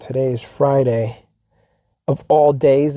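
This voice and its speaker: Somewhat breathy and dark, mellow in tone, a man's voice moves with fairly even intonation. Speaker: podcast host. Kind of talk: casual podcast monologue.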